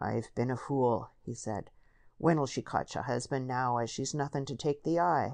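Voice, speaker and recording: A put-on character voice rumbles along in a rural English accent. Its intonation stays fairly even at a moderate pace. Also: man, medium pitch for a man. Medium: read story. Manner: grumbling, crusty.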